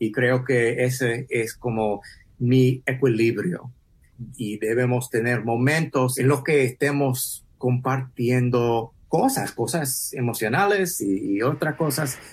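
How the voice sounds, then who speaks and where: In a very clean recording with a silent background, a man of medium pitch speaks very slowly, somewhat breathy, with ordinary pitch variation. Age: 40s. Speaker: podcast host. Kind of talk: interview. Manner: halting.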